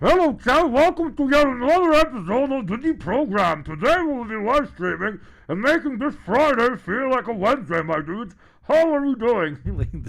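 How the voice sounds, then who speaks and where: The speaker uses a put-on character voice at a fairly high pitch. The recording is very clean, with a silent background. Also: moderate pace. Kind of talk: casual slang, greeting chat. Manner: over-the-top enthusiastic, cheesy.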